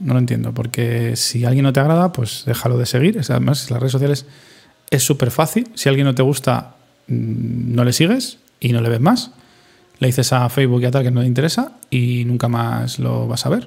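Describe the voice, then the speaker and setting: An unremarkable speaking voice, fairly even in intonation, at a moderate speed. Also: man, medium pitch for a man. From Spain, Madrid. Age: 30s. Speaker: podcaster and streamer. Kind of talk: solo reflective monologue.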